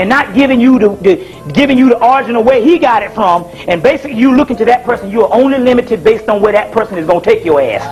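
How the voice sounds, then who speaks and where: This man speaks at a very fast pace with an extremely high pitch, lively intonation and hardly any pauses, with music in the background. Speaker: spiritual lecturer. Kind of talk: lecture. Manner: halting.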